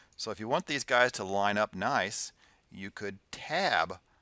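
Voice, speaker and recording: A man with an unremarkable speaking voice talks at a fairly slow pace, his pitch fairly low with ordinary variation. The sound is dry and close with no echo, on a very clean recording with a silent background. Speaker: computer science teacher. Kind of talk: lecture. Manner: casual.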